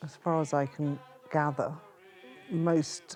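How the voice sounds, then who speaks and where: Over music in the background, a woman speaks very slowly at a very deep, low pitch with fairly even intonation. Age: 60s. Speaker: parent of cult member. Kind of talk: testimony.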